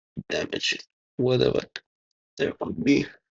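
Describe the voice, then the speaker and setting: The speaker is a man. He mumbles. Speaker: DIY tech hobbyist. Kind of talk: tutorial. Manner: mumbling; halting.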